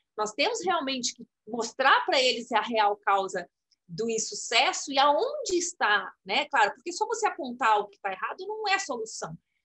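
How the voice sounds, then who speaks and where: Against a quiet background, a woman speaks at a high pitch and a moderate pace in a raised, projected voice with a bright, sharp tone. Her pitch swings very widely and her loudness shifts in big jumps. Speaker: program coordinator. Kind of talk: interview. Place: home room. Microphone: video call.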